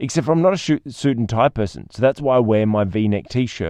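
At a moderate pace, a man talks with a medium pitch. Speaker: podcast host and speaker trainer. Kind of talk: solo podcast monologue. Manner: occasional stumbles over words.

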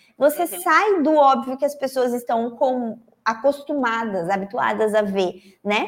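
A woman with a high voice talks at a fairly slow pace, her tone animated and her intonation lively. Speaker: journalist and online course teacher. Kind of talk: live-stream interview. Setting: live stream.

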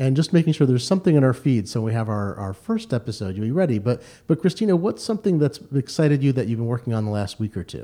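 Very fast and with very wide pitch swings, a man speaks in a dark, mellow tone. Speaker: tech journalist and podcast co-host. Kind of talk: casual chat. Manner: fast talker.

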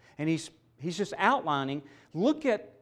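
A man with a Southern US accent and very wide pitch swings, in a very clean recording with a silent background. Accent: Southern American. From US South, Mississippi. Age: 60s. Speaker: seminary professor. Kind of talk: conference lecture.

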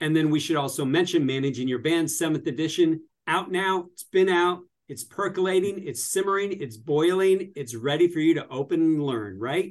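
A man with a fairly high-pitched voice speaks at a moderate pace in an animated tone, with ordinary pitch variation and big swings in loudness. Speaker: radio host and professor. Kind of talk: casual radio banter. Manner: jokey, animated.

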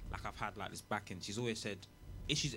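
This man has a London accent. His pitch is fairly low, with ordinary variation. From England. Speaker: rapper. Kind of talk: casual chat.

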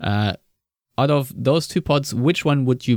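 A man with a German accent speaks with ordinary pitch variation in a very clean recording, the background silent and the sound dry and close with no echo. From Germany. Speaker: football podcast host. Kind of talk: casual chat. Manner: slow.

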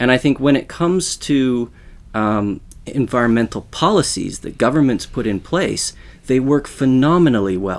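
In a Canadian accent, a plain, everyday voice moves at a moderate pace with lively intonation. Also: man, medium pitch for a man. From Western Canada. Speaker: sociology professor. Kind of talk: interview.

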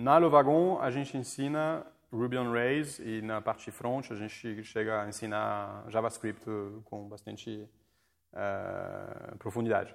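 A man talks with a French accent. His pace is fairly slow. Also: medium pitch for a man, ordinary pitch variation. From France. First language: French (speaking Portuguese). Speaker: coding school leader. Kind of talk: casual interview. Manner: halting.

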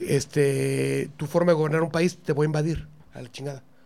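A man's normal speaking voice, fairly high in pitch, fairly quick, with fairly even intonation. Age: 50s. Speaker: comedian. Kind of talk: casual chat.

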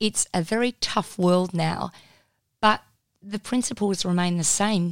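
A woman with an Australian accent speaks at medium pitch, very slowly, with long, frequent pauses. The sound is dry and close with no echo, in a very clean recording with a silent background. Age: 40s. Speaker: media commentator and author. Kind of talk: interview. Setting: studio. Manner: animated.

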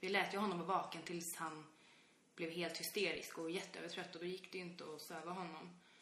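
Monotone, flat delivery at a fairly quick pace with audible room echo. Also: woman, fairly low pitch for a woman. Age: 20s. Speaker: podcast co-host, parent. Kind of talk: casual chat.

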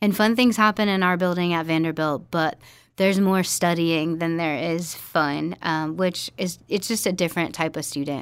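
A woman with a plain, everyday voice, fairly low pitch and an American accent, at a moderate pace with ordinary pitch variation, on a very clean recording with a silent background. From Virginia. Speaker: collegiate minister. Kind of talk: interview.

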